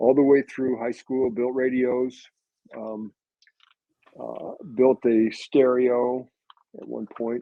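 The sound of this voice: Slow, vocal-fried speech with little pitch movement, in a dry, close sound with no echo. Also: man, medium pitch for a man.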